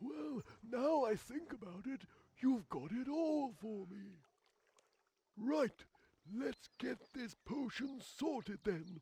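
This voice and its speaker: A man does a put-on character voice at an extremely high pitch, with very wide pitch swings. He goes at a very slow pace with long, frequent pauses. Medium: video game. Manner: blunt, brisk.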